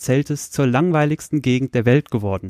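Recorded very cleanly against a silent background, with a dry, close sound and no echo, a man with an ordinary speaking voice talks at a fairly slow pace, his fairly high pitch showing ordinary variation. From Lower Saxony, Soltau area. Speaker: podcast host. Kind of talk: casual chat. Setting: bedroom home studio.

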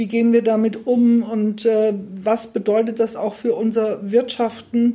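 A woman with a fairly high pitch speaks slowly in a somewhat breathy, dark, mellow tone with monotone, flat intonation. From Fulda, Hesse, Germany. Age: 60s. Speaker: school principal. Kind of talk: interview.

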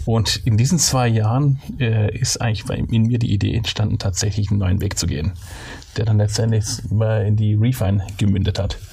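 With a Swabian accent, a man speaks at a fairly low pitch with fairly even intonation and very even loudness. Noticeable background noise runs underneath. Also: moderate pace. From Swabia, southwest Germany. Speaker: company co-founder. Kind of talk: interview.

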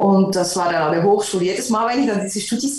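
This woman talks at a medium pitch. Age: 50s. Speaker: concert pianist. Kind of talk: interview.

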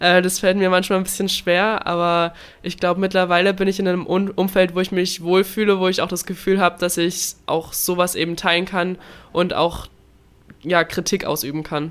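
This very clean recording has a silent background and a woman speaking at a moderate pace. Her medium-pitched voice stays monotone, with flat intonation. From Baden-Württemberg, southern Germany. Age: 20s. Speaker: Olympic swimmer. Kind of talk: interview.

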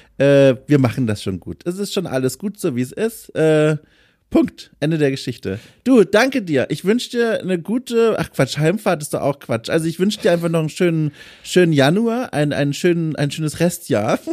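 This man's voice sits high, swinging very widely in pitch as he talks at a moderate pace. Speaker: podcast host and freelance journalist. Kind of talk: casual interview chat. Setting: remote recording over mobile hotspot.

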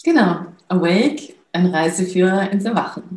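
Her voice is somewhat breathy. The woman's tone is dark and mellow. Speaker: film producer and awakening coach. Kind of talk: interview. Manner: halting, many fillers.

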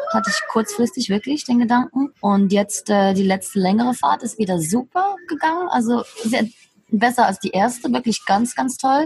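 This woman has an unremarkable speaking voice, a fairly high pitch and lively intonation, speaking at a moderate pace. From Switzerland. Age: 30s. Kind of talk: casual interview. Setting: video call from a café.

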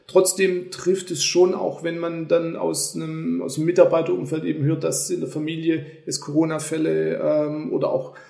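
A man at a moderate pace, with audible room echo. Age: 40s. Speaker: company executive. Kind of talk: casual chat.

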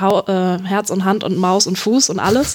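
At a moderate pace, a woman holds a medium pitch and fairly even intonation. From Hanover, Germany. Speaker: freelance sports journalist. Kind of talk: casual football analysis chat. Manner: hesitant, many fillers.

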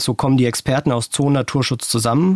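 The sound is dry and close, with no echo. A man with an unremarkable speaking voice talks at a moderate pace with ordinary pitch variation. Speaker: podcast producer and co-host. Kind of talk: casual chat.

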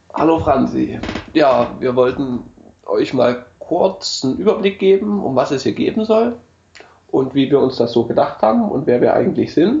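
The speech comes at a moderate pace. Noticeable background noise runs underneath. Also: man. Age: 30s. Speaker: podcast host, CNC machinist. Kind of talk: casual chat.

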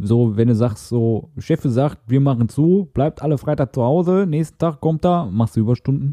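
The voice has a dark, mellow tone and very even loudness, with a dry, close sound with no echo against a quiet background. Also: man, medium pitch for a man, lively intonation, moderate pace, hardly any pauses. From Ruhr area, Castrop-Rauxel. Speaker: podcast co-host. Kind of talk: casual chat.

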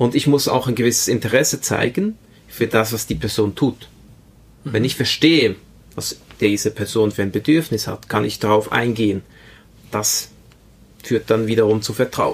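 With long, frequent pauses, a man speaks at a moderate pace and a medium pitch. His intonation is fairly even. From Switzerland, Spanish immigrant family. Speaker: IT project manager. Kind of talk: interview.

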